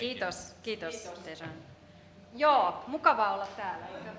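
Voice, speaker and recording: A woman speaks with lively intonation at a fairly high pitch, her loudness swinging widely. The recording carries audible room echo and noticeable background noise. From Finland. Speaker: business communication researcher. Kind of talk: conference presentation. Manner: halting.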